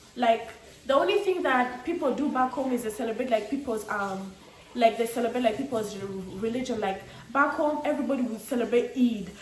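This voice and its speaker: With an East African accent, a woman speaks fairly quickly in a high, animated voice, with audible room echo and noticeable background noise. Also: ordinary pitch variation. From Tanzania (Arusha), Ugandan. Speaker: vlogger, student. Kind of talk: casual vlog monologue.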